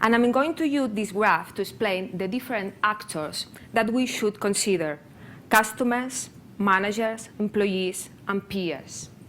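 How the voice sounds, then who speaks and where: A woman speaks with a Spanish accent. Her pitch sits fairly high and varies in an ordinary way. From Spain, near Barcelona (Catalonia). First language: Spanish or Catalan. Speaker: public sector open data practitioner, conference speaker. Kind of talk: conference presentation. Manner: halting, non-native phrasing with hesitations.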